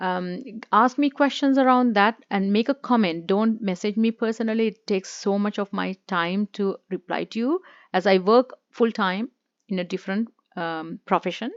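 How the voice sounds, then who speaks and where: A woman in a Sri Lankan accent speaks at a medium pitch and moderate pace, with ordinary pitch variation, over a quiet background. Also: dry, close sound with no echo. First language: Sinhala. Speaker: YouTuber, former immigration consultant. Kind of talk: informational talk to camera. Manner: hesitant, many fillers.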